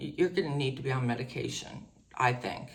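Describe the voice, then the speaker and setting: A woman speaks at a very deep, low pitch in a somewhat breathy voice. Audible room echo fills the space. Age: 60s. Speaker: mental health vlogger. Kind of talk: personal testimony. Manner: halting.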